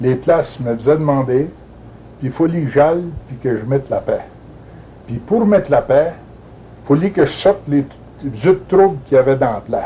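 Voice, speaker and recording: Speaking with a New England accent, a man keeps a moderate pace. His pitch is fairly high, with ordinary variation. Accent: Franco-American French. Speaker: retired police chief. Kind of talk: interview answer.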